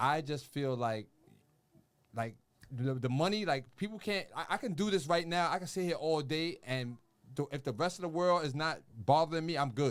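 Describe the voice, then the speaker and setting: A man with an American accent speaks in an ordinary speaking voice, pitched fairly high. His intonation is lively and his pace moderate. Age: 40s. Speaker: podcast host. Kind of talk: casual chat.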